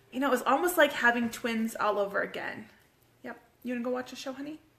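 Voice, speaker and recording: A woman with a high voice talks at a very fast pace. Her pitch varies in an ordinary way, and background noise is noticeable. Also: long, frequent pauses, big swings in loudness. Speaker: fitness coach and homeschooling mom. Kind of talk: casual live video chat. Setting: live stream at home with kids. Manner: animated.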